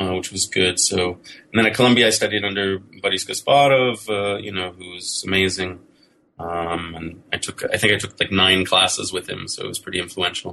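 This man has a very deep, low pitch and a bright, sharp tone. He speaks at a moderate pace with fairly even intonation. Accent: American. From United States. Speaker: professor. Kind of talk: interview. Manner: halting.

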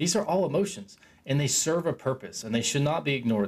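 Talking very fast, a man speaks with vocal fry. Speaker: self-help podcaster. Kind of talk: solo monologue. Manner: casual, rambling with filler words.

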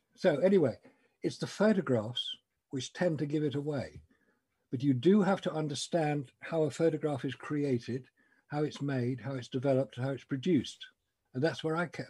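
At a moderate pace, a man with a fairly high pitch sounds somewhat breathy, his pitch varying in an ordinary way. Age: 70s. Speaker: moon landing skeptic researcher. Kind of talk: casual interview.

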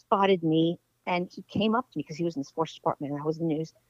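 A woman with an American accent speaks at a fairly low pitch with fairly even intonation, recorded with a dry, close sound with no echo. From Washington, D.C. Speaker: sports TV producer. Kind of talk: interview.

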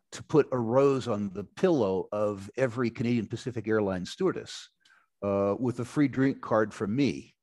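A man speaks in a plain, everyday voice at medium pitch and moderate pace, with ordinary pitch variation and an American accent. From United States. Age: 60s. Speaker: resource investor. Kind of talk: interview.

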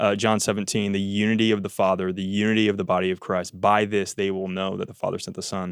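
In a very clean recording with a silent background, a man with an American accent speaks at a very fast pace with hardly any pauses, his fairly low voice monotone and flat. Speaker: church podcast host. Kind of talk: casual chat.

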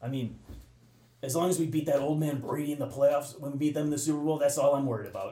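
Rattling along at a very fast pace, a man with a fairly high voice keeps a monotone, flat delivery while the room echo is clearly audible. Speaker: sports superfan. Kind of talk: casual chat. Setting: bar.

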